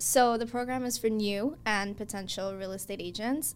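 A woman speaks at a moderate pace with fairly even intonation and a fairly high pitch. It is an ordinary speaking voice. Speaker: realtor and coach. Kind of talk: casual interview.

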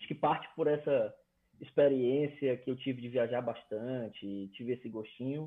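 A plain, everyday voice from a man, medium in pitch, at a moderate pace, with fairly even intonation and big swings in loudness. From Brazil, Fortaleza. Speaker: electrical engineer. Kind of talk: casual interview.

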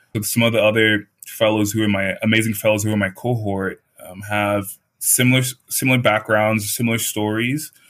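In a monotone, flat intonation, a man with a fairly low pitch talks at a fairly quick pace. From Nigeria. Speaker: fellowship student. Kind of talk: interview.

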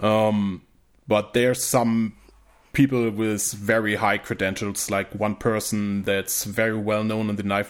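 A man's fairly low voice in a German accent, flat and monotone in delivery. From northern Germany, rural. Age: 20s. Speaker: YouTube creator, survivalist. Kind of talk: casual chat.

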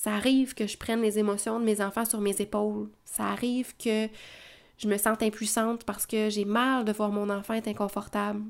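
A woman speaks at a moderate pace with fairly high pitch and monotone, flat intonation. The recording is very clean, the background silent. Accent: Quebec. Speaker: parenting educator podcaster. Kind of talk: solo podcast monologue. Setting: at home with children in background.

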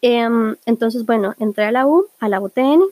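The voice has a Costa Rican accent and a dark, mellow tone with ordinary pitch variation. The sound is dry and close, with no echo. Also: woman. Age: 20s. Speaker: podcast host. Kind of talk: casual monologue.

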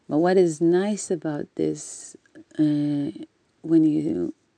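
This woman talks at a very slow pace with an Israeli accent, her pitch fairly low and her tone dark and mellow. The intonation stays fairly even, and the sound is dry and close with no echo. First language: Hebrew. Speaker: spiritual teacher. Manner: halting.

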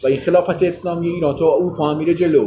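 Speaking at a very fast pace, a man with a high pitch and a dark, mellow tone keeps his intonation fairly even. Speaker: political commentator. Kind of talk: heated debate.

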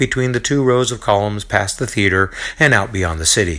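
Lively intonation carries this reading, done aloud in a natural voice.

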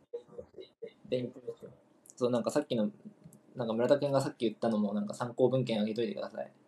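Talking at a very fast pace, a man uses a somewhat breathy, dark, mellow tone with ordinary pitch variation and big swings in loudness. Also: medium pitch for a man. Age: 20s. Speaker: football talk show co-host. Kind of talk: casual chat.

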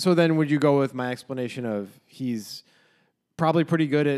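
With an American accent, a man talks at a fairly quick pace in a plain, everyday voice with ordinary pitch variation. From United States. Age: 30s. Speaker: podcast co-host. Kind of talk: casual chat.

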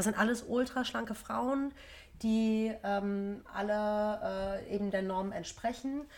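Fairly high female voice, very slow in pace, with fairly even intonation. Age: 30s. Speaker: yoga and meditation teacher. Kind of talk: casual chat.

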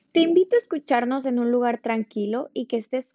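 A woman with a high pitch talks at a moderate pace with ordinary pitch variation. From Mexico, Ensenada, Baja California. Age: 20s. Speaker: podcast host, ballet dancer and teacher. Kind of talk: scripted podcast talk on values.

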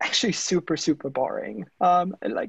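The speaker has a German accent. The sound is dry and close, with no echo. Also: man. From Germany. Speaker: tech startup founder. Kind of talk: interview conversation.

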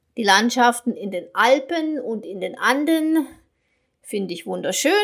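This woman's voice is high-pitched and her intonation is lively. She talks at a fairly slow pace. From Germany, North Rhine-Westphalia. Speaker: German teacher. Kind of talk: podcast monologue for learners. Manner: clear, learner-paced.

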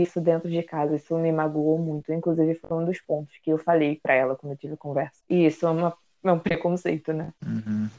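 Her voice is fairly low in pitch with a dark, mellow tone and monotone, flat intonation, and the woman is heard in a dry, close sound with no echo. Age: 20s. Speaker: journalism student and club president. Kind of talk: casual chat. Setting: late-night recorded conversation.

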